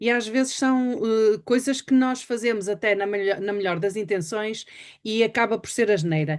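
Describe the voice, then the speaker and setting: A woman in an unremarkable speaking voice, moderate pace, ordinary pitch variation, quiet background. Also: fairly high pitch for a woman. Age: 60s. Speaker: webinar host. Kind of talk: interview.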